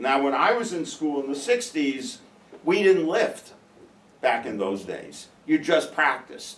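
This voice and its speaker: A man with a New York accent talks at a fairly slow pace with lively intonation. Noticeable background noise and audible room echo surround him. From New York (Brooklyn). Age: 70s. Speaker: professor. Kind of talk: casual classroom talk.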